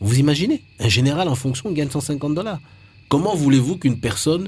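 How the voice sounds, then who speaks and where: At a fairly quick pace, a man talks in a dark, mellow, somewhat breathy tone. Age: 40s. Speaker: presidential candidate. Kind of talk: radio interview. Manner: halting, frequent repetitions.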